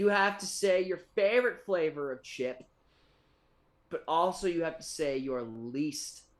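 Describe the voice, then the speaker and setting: Speaking at a fairly slow pace with long, frequent pauses, a man with a fairly high pitch makes very wide pitch swings. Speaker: podcast host. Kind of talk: casual chat.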